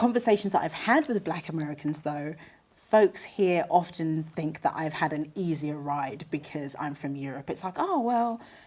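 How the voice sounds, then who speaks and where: Lively intonation at a moderate pace, in a British accent. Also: woman, very deep, low pitch for a woman. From England. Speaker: journalist. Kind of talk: panel discussion.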